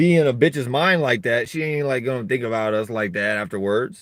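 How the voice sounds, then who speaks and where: Talking at a fairly quick pace, a man uses an animated tone with ordinary pitch variation. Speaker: vlogger. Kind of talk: casual monologue. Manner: loud.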